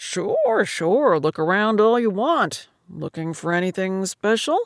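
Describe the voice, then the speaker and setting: Using a put-on character voice, a woman speaks fairly slowly at a medium pitch. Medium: read story. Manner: folksy, salesman-friendly.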